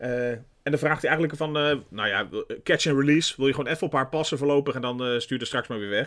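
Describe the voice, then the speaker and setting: A man with a fairly high pitch rushes through his words at a very fast pace. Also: ordinary pitch variation. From Netherlands. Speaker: podcast co-host. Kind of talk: casual chat.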